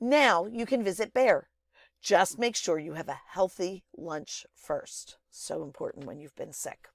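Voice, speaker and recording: A raspy, put-on character voice, fairly high in pitch, at a fairly slow pace. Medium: read story.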